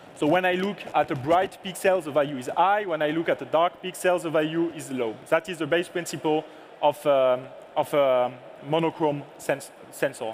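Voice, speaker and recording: A man with a French accent talks at a moderate pace in a fairly high voice with ordinary pitch variation. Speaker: product manager. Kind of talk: lecture.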